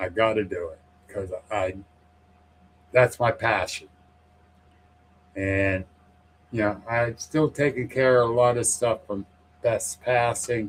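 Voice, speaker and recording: Somewhat breathy and at medium pitch, a man talks at a very slow pace with ordinary pitch variation and long, frequent pauses. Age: 60s. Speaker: paranormal podcast host, guest on show. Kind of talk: casual chat.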